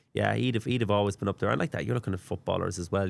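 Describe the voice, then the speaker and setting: Talking at a very fast pace, a man with a western Irish accent uses a fairly low pitch and some vocal fry. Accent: western Irish (Mayo). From Ireland, County Mayo. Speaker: sports radio commentator. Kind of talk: podcast interview. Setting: studio. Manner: halting, frequent repetitions.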